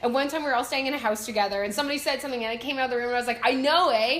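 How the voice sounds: Speech with a Canadian accent comes at a very fast pace with ordinary pitch variation over noticeable background noise. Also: woman, high pitch for a woman.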